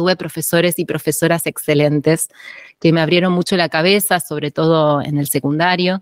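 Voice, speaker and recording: In an Argentine accent, the speaker talks at a moderate pace with monotone, flat intonation. The sound is dry and close, with no echo. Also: woman. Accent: Rioplatense Argentine Spanish. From Argentina, Tandil (Buenos Aires province). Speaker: archaeologist, postdoctoral researcher. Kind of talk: interview.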